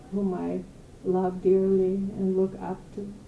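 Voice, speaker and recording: Her tone is dark and mellow. The woman speaks at a moderate pace with a medium pitch. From Poland (Galicia, now Ukraine). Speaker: holocaust survivor. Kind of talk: testimony.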